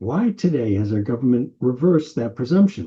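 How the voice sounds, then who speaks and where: A somewhat breathy man with an American accent, medium pitch and very wide pitch swings. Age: 80s+. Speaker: political commentator. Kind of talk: opinion monologue.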